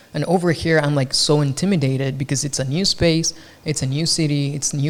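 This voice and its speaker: Somewhat breathy, a man with a fairly high pitch talks at a moderate pace with fairly even intonation. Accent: Spanish. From Mexico. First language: Spanish. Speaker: podcast host, photographer. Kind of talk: casual chat.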